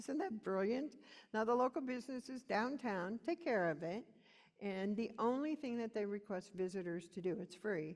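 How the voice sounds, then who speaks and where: A woman talks in an ordinary speaking voice, her fairly high pitch carrying lively intonation at a moderate pace. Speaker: rural community speaker. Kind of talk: conference presentation.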